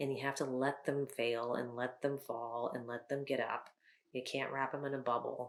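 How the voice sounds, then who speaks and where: A woman's very deep, low voice, monotone and flat in intonation. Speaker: teacher of the visually impaired. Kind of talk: interview. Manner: fast.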